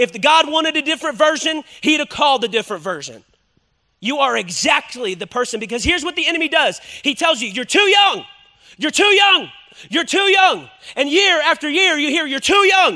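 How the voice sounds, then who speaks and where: With lively intonation and a raised, projected voice, a man talks at a fairly quick pace in an extremely high pitch. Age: 30s. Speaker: pastor. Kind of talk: sermon. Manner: animated.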